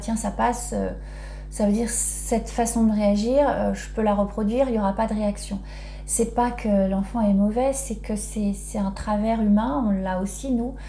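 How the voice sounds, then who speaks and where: A woman keeps a moderate pace while noticeable background noise and audible room echo fill the recording. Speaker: parenting educator. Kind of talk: video talk. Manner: hesitant, many fillers.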